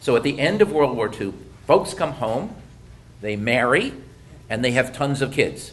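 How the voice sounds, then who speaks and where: Speaking at a moderate pace with an American accent, the man swings his pitch very widely. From US Midwest (Detroit). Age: 60s. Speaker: economist presenter. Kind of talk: presentation.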